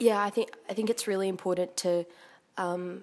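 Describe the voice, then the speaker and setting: With an Australian accent, a woman talks at a moderate pace and medium pitch, her intonation fairly even, on a very clean recording with a silent background. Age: 20s. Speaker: young local resident. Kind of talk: interview.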